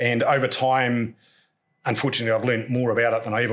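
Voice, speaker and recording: A man with a New Zealand accent at a very fast pace. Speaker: podcast host, construction cost business owner. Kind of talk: podcast conversation.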